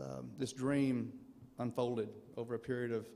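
A man speaks with a dark, mellow tone. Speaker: son of inductee giving acceptance speech. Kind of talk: acceptance speech. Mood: reflective, proud. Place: hall. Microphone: podium.

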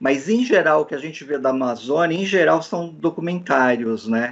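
The voice belongs to a man. Ordinary pitch variation runs through his speech. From Brazil, São Paulo (Southeast). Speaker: press conference moderator. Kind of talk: press conference question. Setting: online press conference. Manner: halting, many fillers. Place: home room. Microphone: video call.

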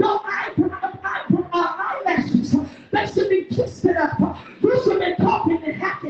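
Her tone animated, a woman speaks at an extremely high pitch and moderate pace, with ordinary pitch variation and audible room echo. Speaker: preacher. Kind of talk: sermon. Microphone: sounds muffled.

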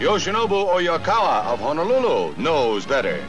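Clear music plays in the background. Over it, a man talks in a high voice. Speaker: newsreel narrator. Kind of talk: newsreel narration. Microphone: old recording.

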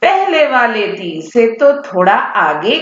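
An unforced reading voice. That is what this clip holds.

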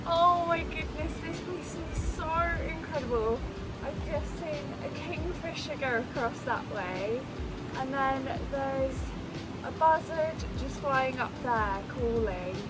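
A woman speaks at a very slow pace. Clear music plays in the background. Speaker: outdoor vlogger. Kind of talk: casual vlog chat. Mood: delighted, relaxed.

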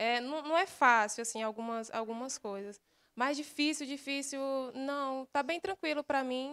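Ordinary pitch variation at a moderate pace, with a quiet background. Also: woman. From Sapucaia, Pará, Brazil; Pará, Brazil. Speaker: beauty pageant contestant; candidate. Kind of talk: interview. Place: studio. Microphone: handheld.

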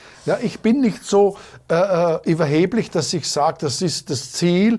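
The voice moves at a fairly slow pace with ordinary pitch variation over a quiet background. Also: man. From Austria, southeastern Styria. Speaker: schlager bandleader; guest. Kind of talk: interview. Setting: studio. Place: studio.

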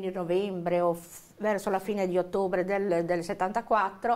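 The woman talks at a moderate pace. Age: 60s. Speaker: witness, victim's relative; interviewee, witness. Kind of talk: interview testimony. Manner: halting, many fillers. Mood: reflective, recalling family tragedy. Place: studio.

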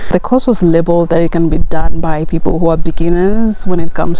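A woman speaks in an ordinary speaking voice at a moderate pace, fairly low in pitch with fairly even intonation. The sound is dry with no echo, with light background noise. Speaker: vlogger. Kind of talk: casual vlog chat. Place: garden. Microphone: lapel.

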